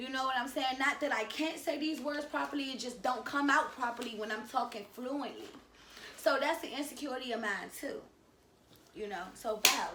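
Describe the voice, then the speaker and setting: Raised and projected, a woman's high-pitched voice with an American accent carries an animated tone at a moderate pace amid audible room echo. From Washington, D.C., with time in North Carolina. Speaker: YouTuber. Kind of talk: casual chat.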